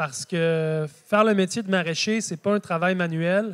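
In a Quebec accent, a man speaks at a high pitch and a very slow pace. His intonation is fairly even, and the sound is dry and close with no echo. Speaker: market gardener and author. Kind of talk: public talk.

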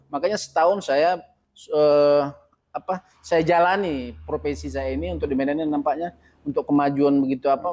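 A fairly high-pitched male voice with big swings in loudness and ordinary pitch variation. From North Sumatra, Indonesia (Asahan/Batubara); North Sumatra, Indonesia. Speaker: local politician and former health worker; local politician. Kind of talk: interview. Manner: halting with many fillers. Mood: relaxed, reflective storytelling. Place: home room. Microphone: lapel.

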